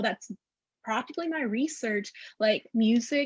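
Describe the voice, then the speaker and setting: A woman speaks with a Spanish accent in a high pitch at a moderate pace. The sound is dry and close with no echo. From Northeast Texas. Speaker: educator, academic researcher. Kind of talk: panel discussion.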